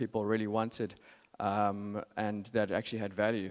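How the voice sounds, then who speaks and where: A man with a South African accent talks at a fairly quick pace in a very clean recording with a silent background. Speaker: marketing strategist, conference speaker. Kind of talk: conference talk. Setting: stage with audience. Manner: hesitant, many fillers.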